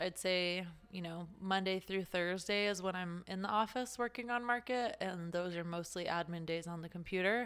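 An unremarkable speaking voice with an American accent. The pace is moderate and the intonation fairly even. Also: woman. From Las Vegas, US. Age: 30s. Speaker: retail consultant and event organizer. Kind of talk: casual interview.

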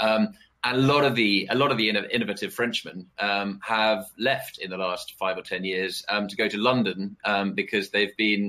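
At a moderate pace, a man with a British accent speaks in a fairly low pitch with fairly even intonation. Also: hardly any pauses. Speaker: political risk analyst. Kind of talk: panel discussion. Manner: halting, many fillers and repetitions.

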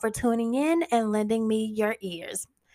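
Delivered at a moderate pace, this is a normal speaking voice. The recording is very clean, with a silent background. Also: woman. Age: 20s. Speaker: podcast host. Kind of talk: solo monologue podcast.

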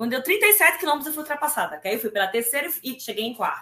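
A very fast, high-pitched woman's voice with a bright, sharp tone. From Brazil, Recife (Pernambuco). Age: 40s. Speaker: amateur triathlete. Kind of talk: casual interview. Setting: live stream.

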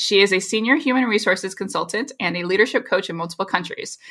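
Using an ordinary speaking voice, the woman keeps to a medium pitch, and her pitch varies by an ordinary amount. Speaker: linguist and podcast co-host. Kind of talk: casual chat.

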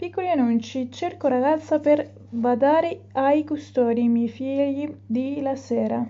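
A woman speaks at a fairly slow pace with hardly any pauses. Her pitch is high, with ordinary variation. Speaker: language learner. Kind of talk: reading aloud. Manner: halting.

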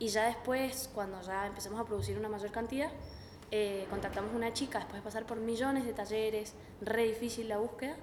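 Fairly high in pitch, a woman talks at a fairly quick pace with fairly even intonation. Audible room echo and noticeable background noise surround her. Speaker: university student, entrepreneur. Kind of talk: interview.

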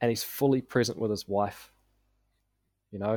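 A man with a New Zealand accent speaks at a fairly quick pace in a monotone, flat intonation, on a very clean recording with a silent background and a dry, close sound with no echo. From New Zealand, South Auckland. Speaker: business coach. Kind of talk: podcast interview.

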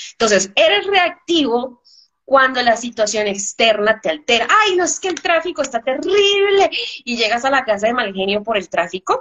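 Here a woman speaks with a high pitch at a moderate pace. Her pitch swings very widely. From Colombia. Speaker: business speaker. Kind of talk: interview.

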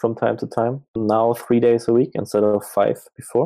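Speaking at a fairly slow pace, a man with a German accent has a dark, mellow tone at a medium pitch. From Germany. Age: 30s. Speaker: full-time trader. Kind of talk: casual interview. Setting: livestream.

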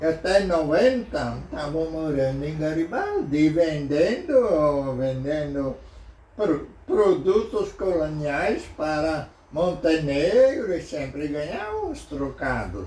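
Audible room echo around a fairly high male voice, its pitch moving in an ordinary way. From southern Brazil, Rio Grande do Sul. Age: 80s+. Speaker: local historian. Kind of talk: interview. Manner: halting.

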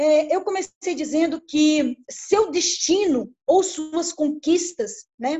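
A woman speaks at an extremely high pitch with ordinary pitch variation. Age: 50s. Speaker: small business owner, former HR employee. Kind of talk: online group chat talk.

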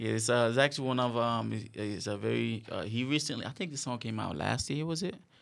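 A very clean, silent-background recording of a man speaking very fast. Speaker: podcast host. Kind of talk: casual interview. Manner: halting with many fillers.

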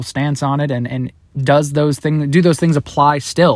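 Fairly even intonation carries a man's speech, which moves at a moderate pace. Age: 20s. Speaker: podcast host. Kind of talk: casual monologue. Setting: in a car. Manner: halting.

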